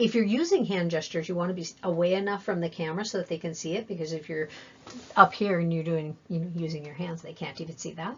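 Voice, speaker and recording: A somewhat breathy woman speaks at a very fast pace with a fairly low pitch. Her intonation is fairly even, but her loudness swings widely. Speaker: job-seeking skills trainer. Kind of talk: training presentation.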